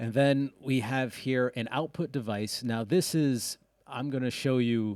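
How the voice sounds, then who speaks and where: A man talks with a slight Rhode Island accent. The sound is dry and close, with no echo. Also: very clean recording, silent background. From US Northeast, Rhode Island. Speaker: music producer and audio engineer. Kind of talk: tutorial. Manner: casual, with fillers and self-corrections.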